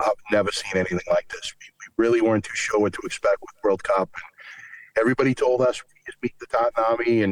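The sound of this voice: A man speaks fast with a Boston accent. His pitch is fairly low and his intonation fairly even.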